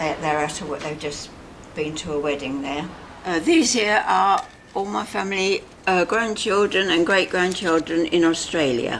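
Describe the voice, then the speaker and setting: Noticeable background noise sits behind a woman whose fairly low voice moves with lively intonation. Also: moderate pace. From Barnes, London, England. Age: 90s. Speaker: elderly resident. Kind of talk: casual chat. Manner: halting.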